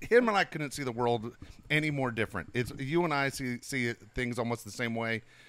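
A man with a normal speaking voice, medium pitch and ordinary pitch variation at a fairly quick pace, on a very clean recording with a silent background. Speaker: podcast co-host, father of the other host. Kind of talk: casual chat.

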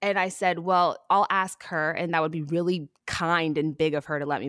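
A woman talks in an ordinary speaking voice with an American accent. Her pitch is fairly low. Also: very clean recording, silent background. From Texas (Houston). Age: 30s. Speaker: TV shopping host and athlete. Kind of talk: interview conversation.

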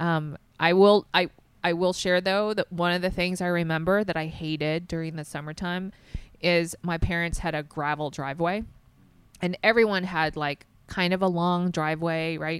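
A woman with an American accent and an ordinary speaking voice, fairly low in pitch, at a moderate pace with fairly even intonation. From US South. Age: 40s. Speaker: nonprofit co-founder. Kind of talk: casual interview.

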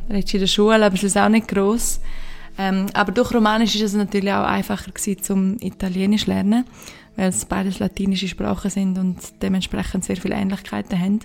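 A woman with a Graubünden accent speaks at a very fast pace and a medium pitch. Her voice is somewhat breathy, with monotone, flat intonation. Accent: soft Graubünden Swiss German. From Switzerland, Engadin (Graubünden). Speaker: podcast host. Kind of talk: solo Q&A monologue. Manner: halting, many fillers.

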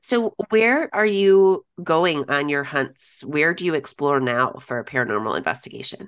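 With an American accent, the speaker moves at a moderate pace with hardly any pauses and very wide pitch swings. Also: woman, very deep, low pitch for a woman. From Illinois, US Midwest. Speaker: podcast host. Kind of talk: casual interview chat.

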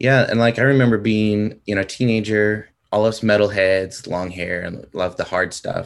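With an American accent, a man speaks at a moderate pace with hardly any pauses. He has a plain, everyday voice, fairly low in pitch, with fairly even intonation. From US West Coast (San Diego, California). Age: 40s. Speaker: metal fan, concertgoer. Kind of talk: casual chat.

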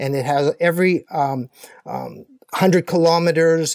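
The dry, close sound carries no echo. A man speaks at a moderate pace with fairly even intonation. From Canada. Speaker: ultramarathon runner. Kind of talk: interview. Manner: halting.

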